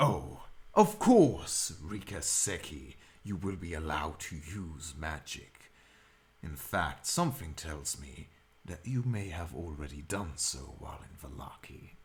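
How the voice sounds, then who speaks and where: A put-on character voice from a man, very deep and low, fairly slow, with ordinary pitch variation and big swings in loudness. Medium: actual play. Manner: measured, formal.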